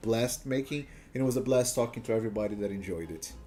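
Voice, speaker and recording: A man with a Portuguese accent in a dark, mellow tone at a moderate pace. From Brazil. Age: 20s. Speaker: gaming streamer. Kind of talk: casual chat. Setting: live stream.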